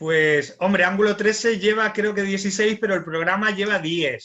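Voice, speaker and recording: A man with a Canarian accent speaks in a raised, projected voice at a high pitch, with ordinary pitch variation. He goes at a fairly slow pace with hardly any pauses. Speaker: radio-style show host. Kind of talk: panel discussion.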